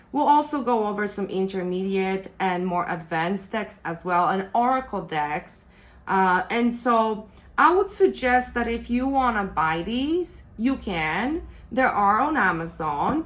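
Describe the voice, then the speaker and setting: With a non-native accent, a woman speaks fairly slowly at a medium pitch and with lively intonation. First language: not English. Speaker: tarot reader and deck reviewer. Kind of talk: product review.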